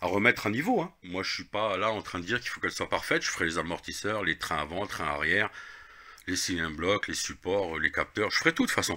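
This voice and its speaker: Over a silent background in a very clean recording, the speaker goes at a very fast pace with ordinary pitch variation and a bright, sharp tone. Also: man, fairly low pitch for a man. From Lorraine, eastern France. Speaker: car repair video maker. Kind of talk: casual tutorial. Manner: casual, hesitant with fillers.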